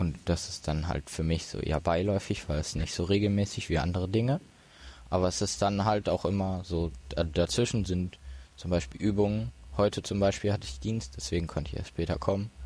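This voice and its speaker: Speaking at a fairly quick pace, a man with a very deep, low voice and a dark, mellow tone shows ordinary pitch variation in a very clean recording with a silent background. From Ruhr area, Germany (Duisburg). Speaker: disaster relief volunteer. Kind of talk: casual chat. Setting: hacker event.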